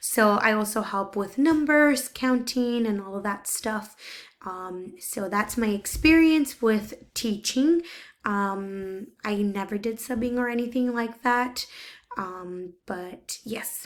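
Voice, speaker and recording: A woman speaks at a very slow pace in a Spanish accent. Her pitch is fairly high, with ordinary pitch variation. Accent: Spanish-accented English, some words hard. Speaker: teacher's aide. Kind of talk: recorded self-introduction. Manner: hesitant, many fillers.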